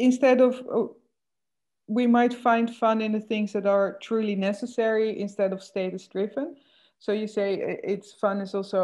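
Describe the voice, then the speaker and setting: A woman speaks in a Dutch accent. Her pace is moderate and her intonation fairly even. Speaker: moderator. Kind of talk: interview conversation. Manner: halting.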